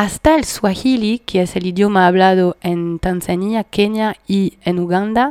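Recorded with a dry, close sound and no echo, a woman speaks at medium pitch with ordinary pitch variation. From France, Paris. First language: French (speaking Spanish). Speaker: community radio host. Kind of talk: radio music show chat.

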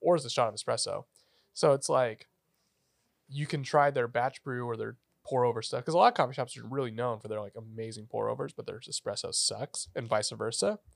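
A man talks at a fairly quick pace in an American accent, with big swings in loudness. The recording is very clean, with a silent background and a dry, close sound with no echo. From Northern California, Redding. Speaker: barista and audio engineer. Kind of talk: casual chat. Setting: studio.

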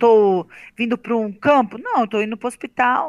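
A woman is speaking. Her voice sits high in pitch. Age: 40s. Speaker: amateur runner, breast cancer survivor. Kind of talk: testimony.

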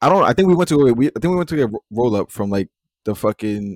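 A man with a New York accent is heard in a dry, close sound with no echo. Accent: New York City. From Queens, New York. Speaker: podcast host. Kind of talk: casual chat.

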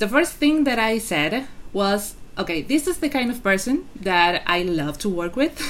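A woman with a non-native accent speaks at a moderate pace. Her pitch swings very widely. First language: not English. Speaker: podcast host and novelist. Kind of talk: interview. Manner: halting.

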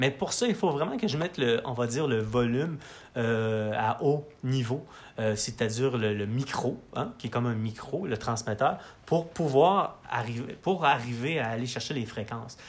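A man's medium-pitched, fairly slow voice with ordinary pitch variation. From Quebec, Matane. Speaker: musician. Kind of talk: casual chat. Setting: his home studio. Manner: halting, many repetitions.

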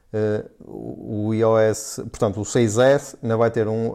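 The recording is very clean, with a silent background. A man talks at a very slow pace. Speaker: podcast host. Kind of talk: casual chat.

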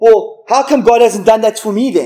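At a fairly quick pace, a man talks in an animated tone. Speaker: preacher. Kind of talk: sermon. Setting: church.

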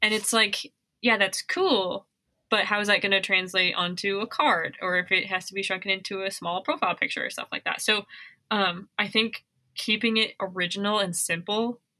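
Bright and sharp in tone, a woman talks at medium pitch and a moderate pace, with an American accent. Her intonation is fairly even, and the sound is dry and close with no echo. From Missoula, Montana. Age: 20s. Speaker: wedding videographer and podcast co-host. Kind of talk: casual chat. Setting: remote recording, separate locations.

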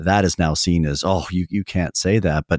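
In a Canadian accent, a man speaks with a very deep, low pitch and ordinary pitch variation, the sound dry and close with no echo. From Canada. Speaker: theology professor. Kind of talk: interview.

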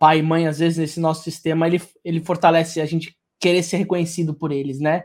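A high-pitched man's voice at a fairly quick pace on a very clean recording with a silent background. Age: 30s. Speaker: podcast host. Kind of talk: casual interview conversation.

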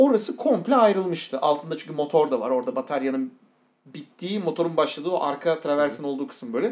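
A man talks at a very fast pace. His intonation is lively, and his pitch is fairly high. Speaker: podcast co-host. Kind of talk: casual chat.

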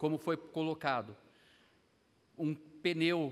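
The man's voice sits fairly high in pitch. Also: very clean recording, silent background. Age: 50s. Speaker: Sunday school teacher, pastor. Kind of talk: bible class lesson.

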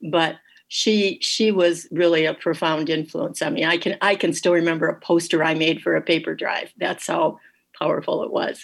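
With an Upper Midwest accent, a woman talks at a moderate pace in a fairly low voice with ordinary pitch variation. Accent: Upper Midwest American. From Michigan, Dearborn. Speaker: watercolor artist. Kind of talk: radio interview.

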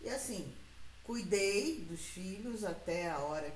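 A woman at a very slow pace with lively intonation, amid noticeable background noise and audible room echo. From Rio de Janeiro, Brazil. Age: 50s. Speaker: interviewee, host's mother. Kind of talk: casual interview.

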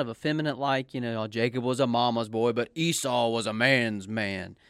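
This man has an ordinary speaking voice at a medium pitch, delivered at a moderate pace. The recording is very clean with a silent background. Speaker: podcast co-host and preacher. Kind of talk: casual chat.

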